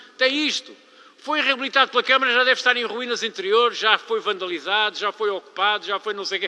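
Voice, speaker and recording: A man with a high pitch talks at a very fast pace in a raised, projected voice, his tone animated and his pitch variation ordinary. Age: 70s. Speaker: local politician. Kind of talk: public meeting speech. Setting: public council meeting.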